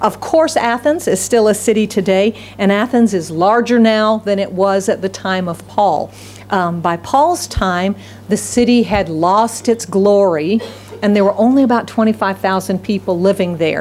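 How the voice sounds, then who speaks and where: Woman's voice at a fairly slow pace, ordinary pitch variation, light background noise. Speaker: pastor. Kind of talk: sermon. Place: church. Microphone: podium.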